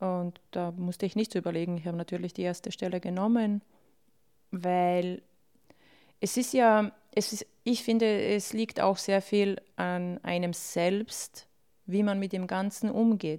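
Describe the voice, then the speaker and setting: In a very clean recording with a silent background, a woman with a Bosnian accent speaks at a fairly slow pace with fairly even intonation and a dark, mellow tone. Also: medium pitch for a woman. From Bosnia, raised in Austria from childhood. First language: Bosnian (speaking German). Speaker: refugee, interviewee. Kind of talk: personal testimony.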